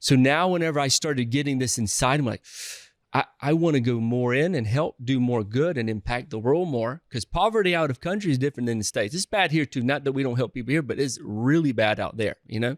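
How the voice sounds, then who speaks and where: In a very clean recording with a silent background, a man with a medium pitch and a Southern US accent talks at a very fast pace with lively intonation. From US South. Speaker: real estate investor. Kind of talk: podcast interview. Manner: halting, frequent restarts.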